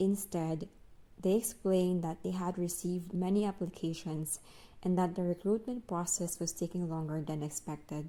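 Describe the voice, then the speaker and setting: With a Filipino accent, a woman speaks at a moderate pace and a fairly low pitch. Her tone is dark and mellow, and her intonation stays fairly even. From Philippines. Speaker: English teacher and vlogger. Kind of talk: personal vlog narration. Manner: reflective.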